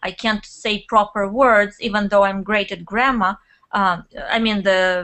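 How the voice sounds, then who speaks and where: A woman speaks with a Russian accent at a medium pitch. Her loudness swings widely as she talks at a fairly slow pace. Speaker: network marketer and blogger. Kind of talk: interview. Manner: animated.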